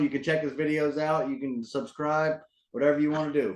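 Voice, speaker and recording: A man talks at a fairly quick pace with a fairly high pitch. He has a plain, everyday voice. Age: 30s. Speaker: interviewer. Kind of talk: interview.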